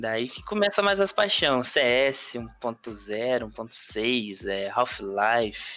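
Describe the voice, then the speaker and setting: Over music in the background, a man talks very slowly at a medium pitch with lively intonation and hardly any pauses. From Brazil, Minas Gerais. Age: 20s. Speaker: streamer. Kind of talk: casual interview.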